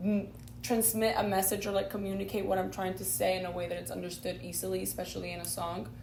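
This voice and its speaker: Talk at a very fast pace is heard with audible room echo and noticeable background noise. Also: woman. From Spain. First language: not English (English is her third language). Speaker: singer-songwriter. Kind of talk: interview. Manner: halting, many fillers.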